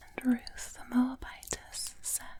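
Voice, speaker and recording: Whispering in a British accent, the speaker uses a gentle tone at a very slow pace. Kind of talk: soft-spoken Bible reading ASMR. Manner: soft-spoken, gentle, whispered layers.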